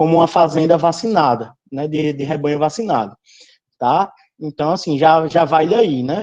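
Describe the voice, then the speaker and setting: A man speaks at a fairly high pitch with ordinary pitch variation. His pace is moderate. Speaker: veterinary lecturer. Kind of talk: online lecture. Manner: halting.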